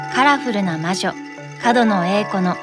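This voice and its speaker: A woman's medium-pitched, lively intonation at a fairly slow pace, with music in the background. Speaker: actress, narrator. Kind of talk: documentary narration.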